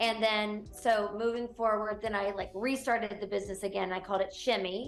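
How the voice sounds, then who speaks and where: This woman has a slight Southern US accent and talks at a fairly quick pace. Her intonation is monotone and flat. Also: fairly high pitch for a woman. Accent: slight Southern twang. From US South, Gastonia/Charlotte, North Carolina. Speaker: real estate broker. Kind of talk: interview. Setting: TV interview.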